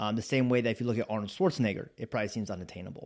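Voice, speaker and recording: On a very clean recording with a silent background, a man speaks. His voice is fairly low, with an American accent. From US Pacific Northwest (Spokane, Washington). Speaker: podcast host and business owner, Navy veteran. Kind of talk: motivational talk.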